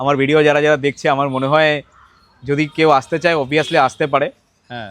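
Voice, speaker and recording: A man's voice, fairly high in pitch. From Barasat, West Bengal. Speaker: customer. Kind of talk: customer testimonial interview. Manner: halting.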